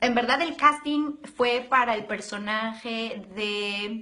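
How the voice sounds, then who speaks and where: A woman talks in an animated, warm tone with ordinary pitch variation. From Arequipa, southern Peru. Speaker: actress in a telenovela. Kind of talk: casual live social-media chat with fans. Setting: live video stream from the studio. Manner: animated, warm, enthusiastic.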